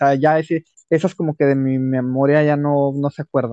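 A man's dark, mellow tone, captured dry and close without echo. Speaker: podcast guest. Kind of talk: casual chat.

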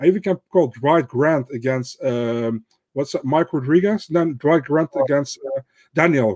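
In a Dutch accent, a man speaks at a fairly high pitch and moderate pace in a dark, mellow tone with ordinary pitch variation. The sound is dry and close with no echo, over a quiet background. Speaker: MMA pundit. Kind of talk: casual chat. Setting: remote call.

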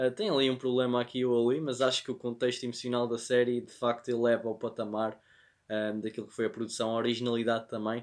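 A man with a European Portuguese accent in a medium pitch, very fast pace and fairly even intonation. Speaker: podcast co-host, film and series reviewer. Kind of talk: casual chat.

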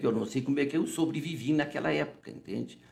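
Fairly quick delivery with lively intonation and vocal fry. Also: man. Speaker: physician, interview guest. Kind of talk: casual interview, storytelling. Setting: studio. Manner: informal, repetitive, chatty.

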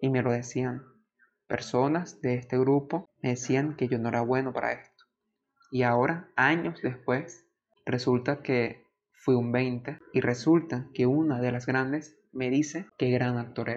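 Fairly even intonation and a medium pitch come from a man talking at a fairly slow pace. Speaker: podcast host. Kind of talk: storytime narration, personal testimony. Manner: earnest, emotional, nostalgic; emphatic, repetitive, motivational.

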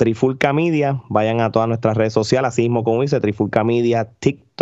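At a fairly quick pace, a man speaks at a medium pitch with a dark, mellow tone against a quiet background. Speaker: wrestling media commentator. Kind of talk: casual chat. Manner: animated.

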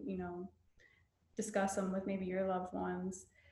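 A woman's somewhat breathy, medium-pitched voice with audible room echo. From US South. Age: 30s. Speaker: mental health counselor and spiritual community founder. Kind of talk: casual chat.

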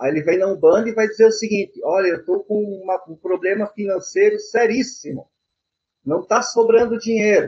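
The pace is fairly quick. A man speaks at a high pitch. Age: 50s. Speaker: Umbanda priest and software engineer. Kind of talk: interview.

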